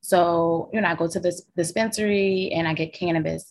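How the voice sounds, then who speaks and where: A woman's fairly low voice with an American accent, fairly slow, over a quiet background. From Philadelphia. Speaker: documentary subject, social worker. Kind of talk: interview chat.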